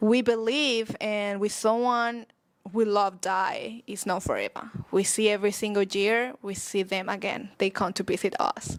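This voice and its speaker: A woman's fairly high voice with a Spanish accent. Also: fairly even intonation, moderate pace. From Mexico, San Luis Potosí. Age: 20s. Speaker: social media marketer. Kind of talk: podcast interview.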